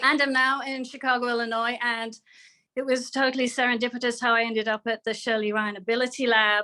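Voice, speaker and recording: A woman speaks at a fairly quick pace in a bright, sharp tone. Her intonation is monotone and flat. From England, Oxford. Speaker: nurse. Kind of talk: panel introduction.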